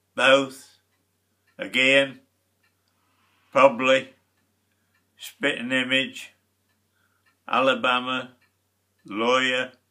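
Against a quiet background, a man with a Lincolnshire accent speaks at a very slow pace in a monotone, flat intonation, with long, frequent pauses. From Lincolnshire, England. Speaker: uploader's father. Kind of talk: word list reading. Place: home room. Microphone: webcam.

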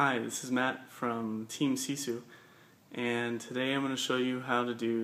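Monotone and flat, a man speaks at a fairly slow pace. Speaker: fitness coach. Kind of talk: tutorial. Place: gym. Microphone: phone near.

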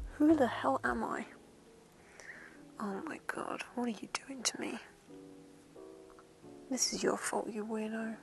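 Soft-spoken and fairly high-pitched, a woman talks at a fairly slow pace with lively intonation and long, frequent pauses, the sound dry with no echo and clear music in the background. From England. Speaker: voice actor. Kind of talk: ASMR roleplay. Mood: flustered, embarrassed, playful.

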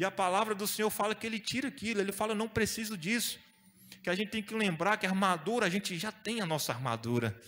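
Bright and sharp in tone, a man's high-pitched voice races along at a very fast pace with ordinary pitch variation. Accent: Brazilian. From Brazil. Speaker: preacher. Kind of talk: sermon. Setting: church. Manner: animated; exhortative, call-and-response. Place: church. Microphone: handheld.

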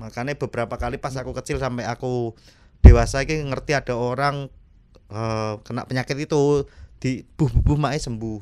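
Speaking at a moderate pace with a strong Javanese accent, a man has a dark, mellow tone and big swings in loudness. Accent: thick Javanese (medok). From Java, Indonesia. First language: Javanese (speaking Indonesian). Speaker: stand-up comedian. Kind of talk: casual chat. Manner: animated. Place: studio. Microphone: studio mic.

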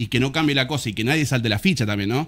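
A man talks with a Rioplatense accent. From Argentina. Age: 30s. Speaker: musician and music teacher; guest. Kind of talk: casual chat; interview answer. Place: studio. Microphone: studio mic.

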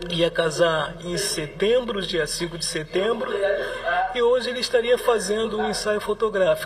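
A man speaks at a moderate speed, noticeable noise in the background. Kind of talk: interview answer. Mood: grieving, sorrowful. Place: home room. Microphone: handheld.

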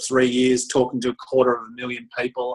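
Against a quiet background, a man with an Australian accent speaks at a fairly quick pace. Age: 50s. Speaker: motivational speaker. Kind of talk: casual chat. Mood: relaxed, candid. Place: office. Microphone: webcam.

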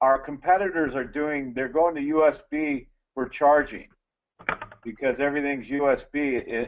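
A man talks fairly slowly in a plain, everyday voice. His pitch is fairly high and his intonation fairly even. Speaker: gas detection sales or field staff. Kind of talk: technical webinar discussion.

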